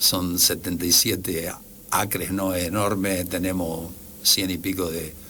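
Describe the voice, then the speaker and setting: In a room with audible echo, a man with a very deep, low pitch speaks slowly in a monotone, flat delivery. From Argentina. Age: 60s. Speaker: engineer. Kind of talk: radio interview. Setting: radio studio. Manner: halting.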